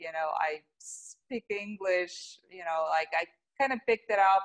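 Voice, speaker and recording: A woman speaks with a Russian accent in a fairly low pitch at a fairly slow pace. The sound is dry and close with no echo. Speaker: yoga teacher and show host. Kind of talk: casual chat interview.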